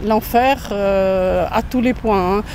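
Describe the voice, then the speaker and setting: Noticeable background noise accompanies a voice with fairly even intonation. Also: woman. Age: 70s. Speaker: retiree interviewed in the street. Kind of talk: street interview. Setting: outdoors in a park.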